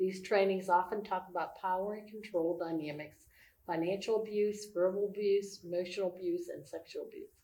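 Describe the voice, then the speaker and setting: A woman speaks at a fairly quick pace in a medium pitch. Her intonation is monotone and flat, yet her loudness swings widely. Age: 60s. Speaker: church staff minister. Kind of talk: casual chat.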